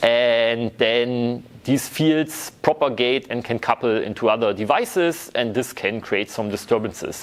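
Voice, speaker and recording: In an ordinary speaking voice, a man talks at medium pitch and a moderate tempo, with ordinary pitch variation. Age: 30s. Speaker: university lecturer. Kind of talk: lecture.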